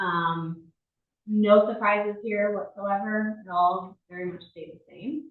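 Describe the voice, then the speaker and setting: Fairly even intonation carries a woman's medium-pitched voice. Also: big swings in loudness. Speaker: village finance administrator. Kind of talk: budget presentation at board meeting. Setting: village board meeting room. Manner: fast.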